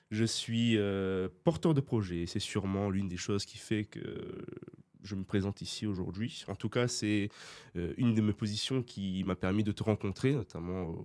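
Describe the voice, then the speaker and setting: A man's normal speaking voice, fairly low in pitch, at a moderate pace with ordinary pitch variation. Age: 20s. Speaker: student entrepreneur. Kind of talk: podcast interview. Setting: studio.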